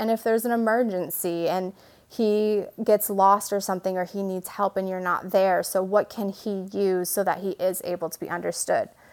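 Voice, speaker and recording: A woman with an American accent and monotone, flat intonation. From Michigan. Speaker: speech language pathologist. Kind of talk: interview, explaining.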